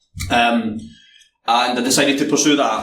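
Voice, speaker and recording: A man speaks with a Scottish accent. Noticeable background noise and audible room echo surround him. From Scotland. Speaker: penetration tester. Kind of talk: conference talk. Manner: hesitant, many fillers.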